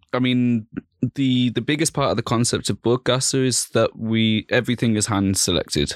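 A man speaks in a Birmingham accent at a moderate pace and medium pitch, with ordinary pitch variation. The sound is dry and close, with no echo. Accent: Birmingham English (Brummie). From Birmingham, England. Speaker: vintage clothing store manager. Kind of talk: casual chat. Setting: studio.

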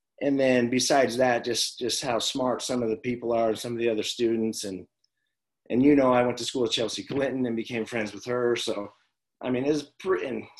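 A plain, everyday voice: a man of medium pitch with an American accent, fairly even intonation and a fairly quick pace. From Las Vegas, Nevada. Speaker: former pro baseball player and high school coach. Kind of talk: casual interview chat.

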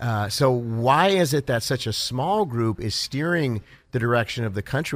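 The pitch moves in an ordinary way throughout this normal speaking voice. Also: man. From California (Los Angeles area), born in Ohio. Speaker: pastor and evangelist. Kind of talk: radio interview. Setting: convention floor.

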